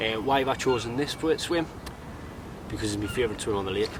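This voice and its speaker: Against noticeable background noise, a man in a northeast English accent speaks fairly quickly at a medium pitch with ordinary pitch variation. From northeast England. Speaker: angling vlogger. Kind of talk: outdoor vlog tutorial. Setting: outdoors by a lake. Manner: casual, jokey.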